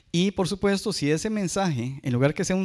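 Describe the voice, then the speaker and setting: A man at a fairly quick pace with ordinary pitch variation, against a quiet background. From Costa Rica. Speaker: cybersecurity analyst; conference speaker. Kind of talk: conference talk. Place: hall. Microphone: handheld.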